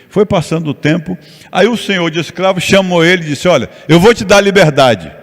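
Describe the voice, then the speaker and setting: Noticeable background noise sits behind a man's high-pitched voice. He talks at a fairly quick pace with ordinary pitch variation. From Rio de Janeiro, Brazil. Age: 70s. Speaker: pastor and missionary. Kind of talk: sermon.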